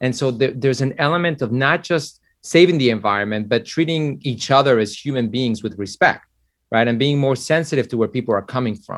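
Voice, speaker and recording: A man with an American accent, medium pitch, ordinary pitch variation and a fairly quick pace over a quiet background. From Mexico, raised in the US. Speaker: finance executive. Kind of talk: interview. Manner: halting.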